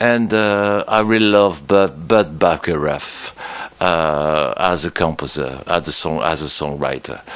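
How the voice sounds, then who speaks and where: With a French accent, this voice rises and falls in an ordinary way. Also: man. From France. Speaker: musician. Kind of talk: interview.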